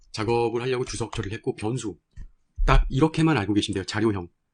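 The voice is somewhat breathy with ordinary pitch variation. It moves at a fairly quick pace. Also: man. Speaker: programming instructor. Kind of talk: tutorial.

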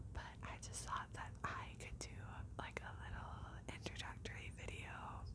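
Over loud background noise, a woman talks at a fairly slow pace. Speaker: ASMR creator. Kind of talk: ASMR whispering to camera. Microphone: lapel.

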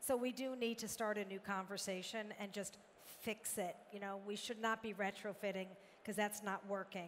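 A woman speaks at a moderate pace in a medium pitch. Her intonation is monotone and flat, with light background noise behind her. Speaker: company founder. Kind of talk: panel discussion. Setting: stage with audience. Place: hall. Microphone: headset.

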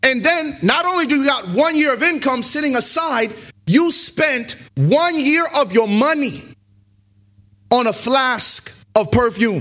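Against a quiet background, a man speaks in an extremely high pitch with a raised, projected voice, a bright, sharp and animated tone, lively intonation and a fairly slow pace. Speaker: preacher. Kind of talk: sermon. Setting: church; stage with audience. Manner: animated, call-and-response preacher. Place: church. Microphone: podium.

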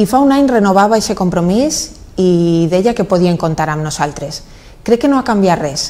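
Speaking with a Valencian accent, a woman uses a medium pitch that swings very widely. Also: moderate pace. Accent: Valencian Catalan. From Valencia region, Spain. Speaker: mayor. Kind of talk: interview. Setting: office. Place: studio. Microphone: lapel.

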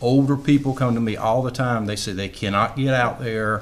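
Moderate pace and ordinary pitch variation. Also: man, medium pitch for a man.

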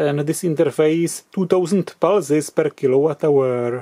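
In a quiet background, a man speaks in a dark, mellow tone at a fairly slow pace with fairly even intonation. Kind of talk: tutorial. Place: workshop. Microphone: camera far.

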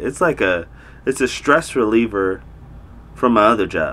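Here is a man speaking at a moderate pace. His pitch varies in an ordinary way. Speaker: vlogger. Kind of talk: casual vlog chat. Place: home room.

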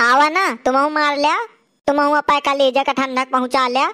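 A woman uses a put-on character voice at a high pitch. She keeps a moderate pace and fairly even intonation. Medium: comedy sketch. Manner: shrill, complaining.

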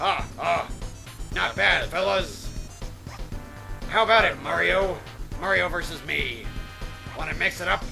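Over clear music in the background, a man uses a put-on character voice at a moderate pace. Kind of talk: comic overacting of game text. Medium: game stream. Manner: gruff, swaggering pirate talk.

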